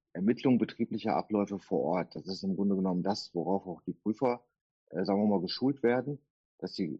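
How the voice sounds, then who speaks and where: With a very deep, low pitch and ordinary pitch variation, a man talks at a fairly quick pace. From Duisburg, Ruhr area, Germany. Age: 50s. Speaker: tax auditor. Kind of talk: interview. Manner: hesitant fillers.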